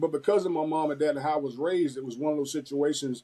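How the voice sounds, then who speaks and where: The sound is dry and close, with no echo. A voice in a Southern US accent runs at a very fast pace, with a dark, mellow tone and fairly even intonation. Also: man. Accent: Southern twang. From Florida. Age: 50s. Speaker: former football player and coach. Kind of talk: interview.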